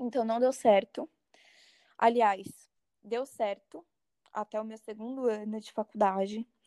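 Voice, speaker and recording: Heard in a dry, close sound with no echo, a woman talks at a fairly slow pace with ordinary pitch variation. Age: 20s. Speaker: psychology student. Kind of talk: casual chat.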